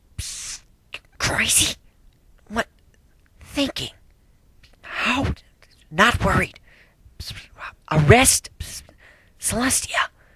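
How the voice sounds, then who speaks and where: A female-sounding voice whispers in a put-on character voice at a fairly slow pace, with long, frequent pauses. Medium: read story. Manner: excitable, bubbly.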